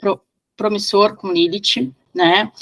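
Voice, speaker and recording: A woman's voice at a medium pitch. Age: 40s. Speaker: priestess of an esoteric order. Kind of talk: interview. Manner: halting, many fillers.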